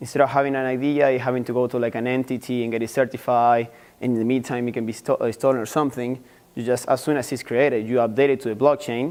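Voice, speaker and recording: Talking at a very fast pace with an Argentine accent, a man keeps his medium pitch in a monotone, flat intonation. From Argentina. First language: Spanish. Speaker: university student. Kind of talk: class presentation. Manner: halting.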